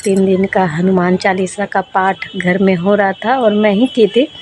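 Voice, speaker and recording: A soft-spoken woman talks at a medium pitch with fairly even intonation. Noticeable background noise runs behind her. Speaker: village vlogger. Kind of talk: casual vlog talk. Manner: soft, quiet.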